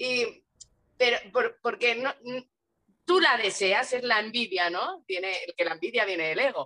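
A woman with a high, bright and sharp voice speaks at a fairly slow pace, her pitch swinging very widely, with long, frequent pauses. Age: 30s. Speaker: spiritual content creator. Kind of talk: casual interview.

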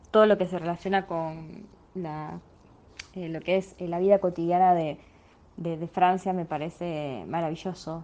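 A woman with a plain, everyday voice talks at medium pitch and a fairly slow pace, her intonation fairly even. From Argentina, small town in Santa Fe province. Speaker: educational psychologist and lecturer. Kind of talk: interview, travel story.

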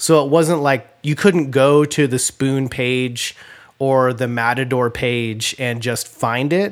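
In a very clean recording with a silent background, a man with an American accent and an ordinary speaking voice talks fairly slowly at a medium pitch. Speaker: podcast host. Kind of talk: casual chat.

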